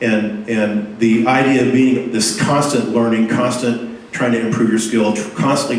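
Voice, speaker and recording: A man at medium pitch and moderate pace, monotone, flat intonation, audible room echo and noticeable background noise. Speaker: software developer giving a meetup talk. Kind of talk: conference talk. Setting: meetup talk with audience. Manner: halting, many fillers and repeats.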